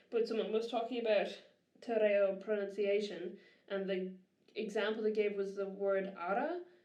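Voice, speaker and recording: Speaking in an Irish accent, a woman with a medium pitch keeps a moderate pace and fairly even intonation, leaving long, frequent pauses amid audible room echo. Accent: Irish, noticeable. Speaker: podcast co-host. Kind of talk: casual chat.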